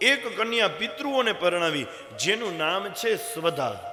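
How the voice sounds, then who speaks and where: The intonation here is lively. Noticeable background noise runs underneath. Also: man. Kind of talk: devotional scripture discourse.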